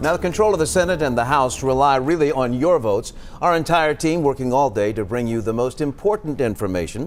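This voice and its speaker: With an ordinary speaking voice, a man talks at a fairly quick pace at medium pitch, his intonation lively. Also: hardly any pauses. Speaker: news anchor. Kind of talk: TV newscast anchor read.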